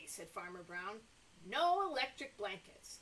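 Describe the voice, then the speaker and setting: Using a put-on character voice, a woman speaks fairly slowly at a medium pitch. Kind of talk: children's story time. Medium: read story. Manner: indignant, exclamatory.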